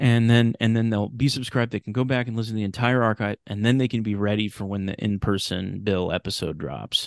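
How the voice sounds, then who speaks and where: A normal speaking voice with an American accent, fairly even intonation and a fairly quick pace with hardly any pauses, recorded dry and close with no echo against a quiet background. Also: man, fairly low pitch for a man. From California, Sacramento. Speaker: radio drama creator and podcast host. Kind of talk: casual interview chat.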